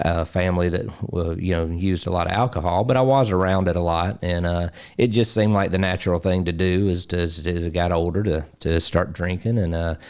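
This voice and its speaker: On a very clean recording with a silent background, a man speaks with a very deep, low pitch. He moves at a fairly quick pace with fairly even intonation. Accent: Alabama. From US South, Alabama. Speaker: basketball coach and ministry founder. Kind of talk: interview testimony. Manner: halting, many fillers.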